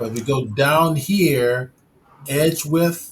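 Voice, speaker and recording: Here a man speaks at a fairly high pitch, with ordinary pitch variation. His voice is somewhat breathy. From Chicago. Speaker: 3D software instructor and live stream host. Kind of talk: tutorial. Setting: live stream.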